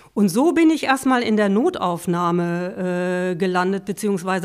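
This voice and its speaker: A woman has a plain, everyday voice at a medium pitch with ordinary pitch variation. She talks at a fairly slow pace. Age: 50s. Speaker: patient and volunteer peer counselor. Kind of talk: interview, personal testimony.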